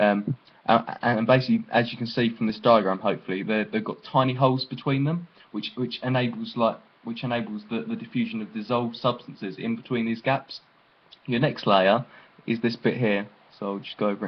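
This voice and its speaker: Speaking with fairly even intonation at a fairly quick pace, a man's voice sits at a medium pitch. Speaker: biology tutor. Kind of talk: tutorial. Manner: halting, many fillers and repeats.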